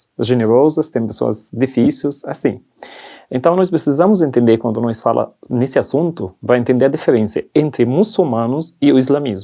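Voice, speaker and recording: A man of medium pitch talks with a non-native accent. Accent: foreign accent in Portuguese. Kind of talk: testimony interview in church. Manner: halting, non-native phrasing.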